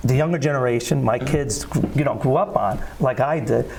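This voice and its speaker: Over noticeable background noise and audible room echo, a man with a New Jersey accent speaks with ordinary pitch variation. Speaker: singer. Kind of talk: interview. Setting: studio.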